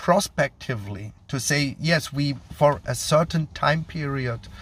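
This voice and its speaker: A man with a German accent speaks at a fairly slow pace, his voice fairly high and touched with vocal fry. His pitch varies in an ordinary way, and the recording is very clean with a silent background. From Germany. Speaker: GMP quality consultant. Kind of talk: educational monologue. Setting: while traveling. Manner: hesitant, many fillers.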